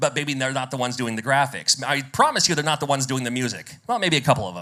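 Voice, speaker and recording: Talking at a very fast pace, a man with an American accent has a fairly high pitch, a bright, sharp tone and ordinary pitch variation. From United States. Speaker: game developer and radio presenter. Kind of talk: conference talk.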